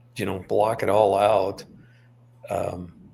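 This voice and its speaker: Somewhat breathy and fairly low-pitched, a man speaks at a fairly slow pace. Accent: American. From Montana. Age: 60s. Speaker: author. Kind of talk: interview.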